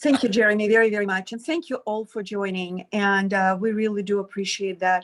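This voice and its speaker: With a Ukrainian accent, a woman speaks at a medium pitch and a fairly quick pace, with ordinary pitch variation and hardly any pauses. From Ukraine. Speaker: social worker, adoption agency director. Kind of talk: online meeting introduction. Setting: video call.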